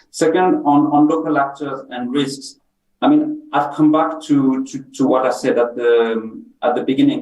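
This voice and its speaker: Speaking with a French accent, a man keeps a moderate pace. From France. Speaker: humanitarian policy expert. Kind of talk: panel discussion. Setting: video call on screen. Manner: halting, many repetitions.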